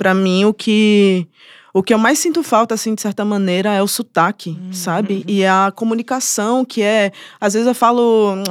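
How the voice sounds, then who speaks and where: The sound is dry and close, with no echo. A woman with a normal speaking voice talks at a medium pitch with ordinary pitch variation. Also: moderate pace, very clean recording, silent background. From Brazil, Bahia (Salvador). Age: 20s. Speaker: musician and producer. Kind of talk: casual interview chat.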